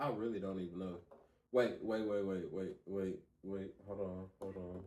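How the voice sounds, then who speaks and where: Here a man talks with fairly low pitch and fairly even intonation. He has an unremarkable speaking voice and a moderate pace. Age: 30s. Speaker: podcast co-host. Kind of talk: casual chat.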